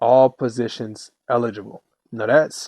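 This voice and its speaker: Recorded with a dry, close sound and no echo, a man speaks at a medium pitch. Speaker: gaming YouTuber. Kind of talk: casual video commentary. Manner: halting, with fillers.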